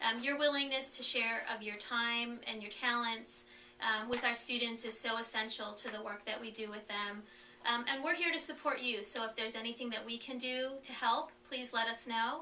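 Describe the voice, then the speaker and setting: A fairly high-pitched woman's voice with fairly even intonation, audible room echo and noticeable background noise. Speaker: foster care support staff presenter. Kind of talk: webinar presentation. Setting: conference call. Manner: fast; hesitant with fillers.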